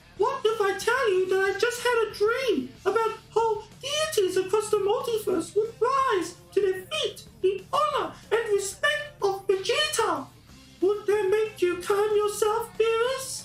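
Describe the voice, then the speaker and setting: A female-sounding, put-on character voice comes through squeaky and extremely high-pitched. It moves at a fairly slow pace over clear background noise. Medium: read story. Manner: nonchalant drawl.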